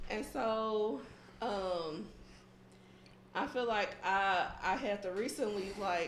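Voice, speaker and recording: Speaking at a very slow pace with long, frequent pauses, a woman is heard over noticeable background noise and audible room echo. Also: medium pitch for a woman, ordinary pitch variation, very even loudness. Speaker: podcast co-host. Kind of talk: casual chat. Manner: soft-spoken; calm.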